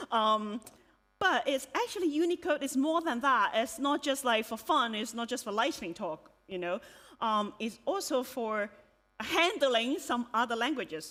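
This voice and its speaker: Speaking at a fairly slow pace, a woman with a Cantonese accent has a high pitch, a bright, sharp tone and very wide pitch swings. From Hong Kong. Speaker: software developer and conference speaker. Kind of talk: conference talk. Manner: hesitant, many fillers.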